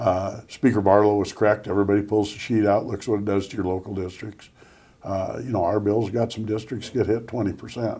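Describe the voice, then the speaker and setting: Fairly low and somewhat breathy, a man's voice has a dark, mellow tone. He moves at a fairly quick pace with monotone, flat intonation. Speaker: state senator and majority floor leader. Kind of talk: policy interview.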